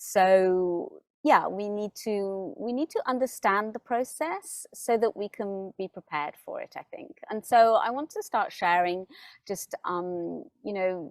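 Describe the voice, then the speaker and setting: A woman speaks at medium pitch with lively intonation and big swings in loudness. The sound is dry and close, with no echo. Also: fairly slow pace, very clean recording, silent background. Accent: British. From UK. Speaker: spiritual teacher. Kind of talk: spiritual talk to camera. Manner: hesitant, many fillers and repeats.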